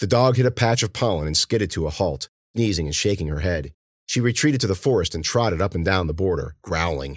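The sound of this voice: An unforced reading voice carries lively intonation. The background is quiet.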